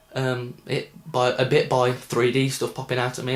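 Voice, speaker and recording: This man's voice is somewhat breathy. Its pitch is medium. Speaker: film reviewer. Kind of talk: casual film review. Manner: hesitant, many ums.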